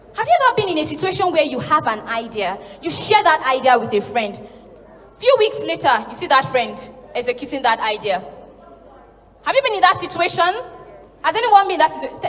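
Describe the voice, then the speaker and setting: A woman with a Nigerian accent, high pitch and very wide pitch swings, at a fairly quick pace with long, frequent pauses, amid noticeable background noise. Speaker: spoken word artist and storyteller. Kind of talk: conference talk to a live audience.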